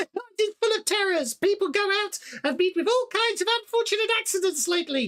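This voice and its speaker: A woman does a squeaky, put-on character voice at an extremely high pitch with lively intonation. The sound is dry and close, with no echo. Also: moderate pace. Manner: mocking.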